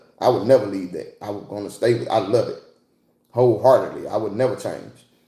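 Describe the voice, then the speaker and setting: Amid audible room echo, a man speaks in an animated tone at a fairly quick pace. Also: big swings in loudness. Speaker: livestreamer and fishing enthusiast, military veteran. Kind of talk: casual livestream chat reading comments.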